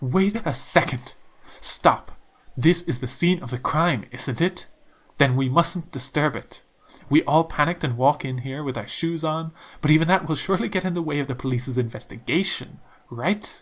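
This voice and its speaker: Shrill put-on character voice at a moderate pace. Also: man, fairly high pitch for a man. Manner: alarmed, insistent.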